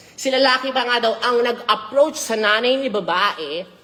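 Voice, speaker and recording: An animated woman's high voice with ordinary pitch variation, set against noticeable background noise. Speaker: celebrity gossip vlogger. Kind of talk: gossip commentary vlog.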